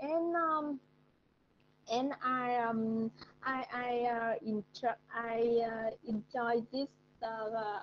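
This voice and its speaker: Delivery is very slow, with long, frequent pauses, very even loudness and ordinary pitch variation. Light background noise sits underneath. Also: woman. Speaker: English learner. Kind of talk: online English lesson conversation. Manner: slow, careful, hesitant. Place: home room. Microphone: video call.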